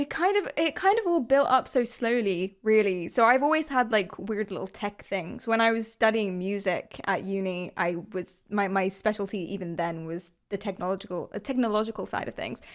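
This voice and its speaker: Speaking in a London accent at medium pitch, a woman barely pauses, her intonation lively on a very clean recording with a silent background. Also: moderate pace. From London, England. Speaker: streamer. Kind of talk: casual interview.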